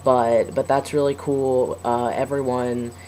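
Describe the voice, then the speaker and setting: A man speaks in a medium pitch, with noticeable background noise behind him. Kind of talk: personal video diary. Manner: hesitant, many fillers.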